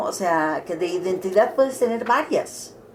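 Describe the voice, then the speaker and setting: Very wide swings in pitch stand out over noticeable background noise. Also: woman. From Mexico City, Mexico. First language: Catalan (speaking Spanish). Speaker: interviewee, cultural figure. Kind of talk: interview testimony. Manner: halting.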